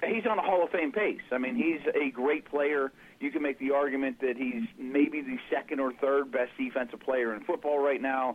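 A man with an unremarkable speaking voice talks at a moderate pace with fairly high pitch, ordinary pitch variation and hardly any pauses. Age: 40s. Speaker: NFL analyst podcast co-host. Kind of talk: casual chat.

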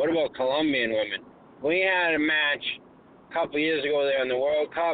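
A man speaks at a moderate pace with a Boston accent. His pitch is fairly high. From Massachusetts, Boston area (Lynn). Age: 40s. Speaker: cab driver calling in. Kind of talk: casual chat. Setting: phone call from a cab.

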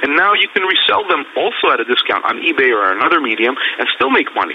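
A man talks with fairly high pitch. Noticeable background noise can be heard. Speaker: auction expert guest. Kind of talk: interview explaining advice.

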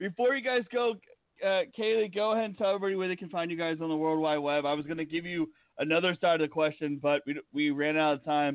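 Delivery is very fast. Pitch varies in an ordinary way. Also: man, high pitch for a man. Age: 30s. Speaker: radio host. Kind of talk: casual interview. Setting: studio. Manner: casual, rambling.

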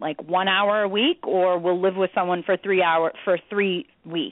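A woman speaks at a moderate pace and medium pitch, with fairly even intonation and a normal speaking voice. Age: 30s. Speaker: recovery coach, person in recovery. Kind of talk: casual chat.

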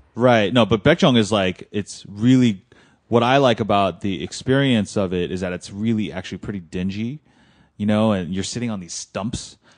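Over a quiet background, a man speaks with a Californian accent. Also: fairly low pitch for a man, ordinary pitch variation, moderate pace. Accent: Californian American. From US West Coast, Los Angeles. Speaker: food editor. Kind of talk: casual chat.

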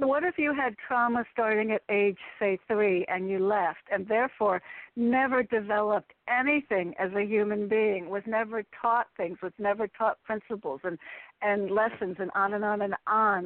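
A woman with an ordinary speaking voice in an American accent, fairly high in pitch, ordinary pitch variation, moderate pace. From US Northeast, Connecticut. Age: 60s. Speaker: caller. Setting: phone call.

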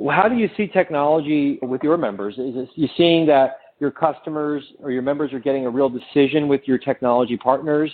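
A plain, everyday voice: a man with fairly high pitch talks at a fairly quick pace with hardly any pauses and ordinary pitch variation. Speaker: mortgage technology vendor. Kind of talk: interview.

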